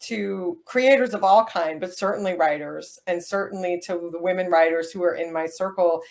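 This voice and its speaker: Medium-pitched female speech at a moderate pace, its intonation fairly even. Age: 40s. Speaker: writer and interviewer. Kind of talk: author interview.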